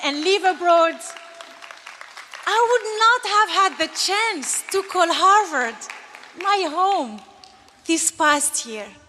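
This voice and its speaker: A woman's raised, projected voice, very slow and lively in intonation, with crowd noise in the background. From Algeria. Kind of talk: commencement speech.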